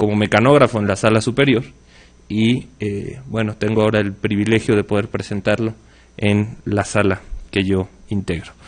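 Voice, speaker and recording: A man's fairly low voice moves at a moderate pace with monotone, flat intonation. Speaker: magistrate introducing a speaker. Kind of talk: formal speaker introduction. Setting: conference hall with audience. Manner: hesitant, many filler sounds.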